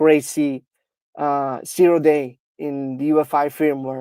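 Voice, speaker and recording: Over a very clean recording with a silent background, the speaker talks at a very slow pace with a non-native accent. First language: not English. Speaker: security researcher. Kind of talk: technical demo. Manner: halting, many fillers.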